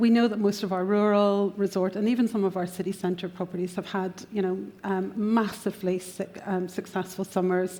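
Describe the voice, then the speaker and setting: Moderate-paced speech from a woman with a Northern Irish accent, medium in pitch, dark and mellow in tone, with monotone, flat intonation. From Northern Ireland. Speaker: panel moderator. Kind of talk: conference panel discussion.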